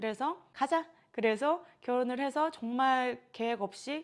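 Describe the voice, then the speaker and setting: A woman speaks at a fairly slow pace. Her recording is very clean, with a silent background. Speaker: yoga instructor. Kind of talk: casual vlog monologue.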